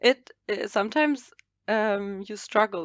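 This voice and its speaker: Her pitch varies in an ordinary way as a woman talks with a German accent. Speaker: fashion model. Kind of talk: casual chat. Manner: halting.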